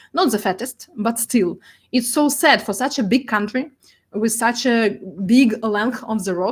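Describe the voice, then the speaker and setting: A somewhat breathy woman's voice with a Russian accent on a very clean recording with a silent background. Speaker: data artist. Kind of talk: presentation. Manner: halting.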